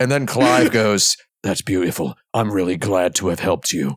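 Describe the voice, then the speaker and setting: A man with a plain, everyday voice, fairly low in pitch, uses lively intonation, recorded dry and close with no echo. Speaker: podcast co-host. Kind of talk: casual panel podcast banter. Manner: jokey, talkative.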